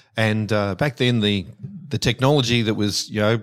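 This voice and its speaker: A man with an Australian accent speaks at a medium pitch and moderate pace. His intonation is fairly even. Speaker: stormwater engineer, company director. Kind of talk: casual interview.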